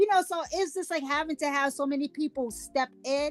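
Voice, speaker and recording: A woman's high-pitched, animated voice with lively intonation, dry and close with no echo. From Louisiana. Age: 50s. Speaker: podcast host. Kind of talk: casual chat. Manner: stutters at times.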